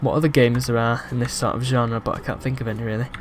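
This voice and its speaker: A man with a medium-pitched voice talks while noticeable background noise fills the clip. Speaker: game reviewer. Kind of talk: casual gameplay commentary.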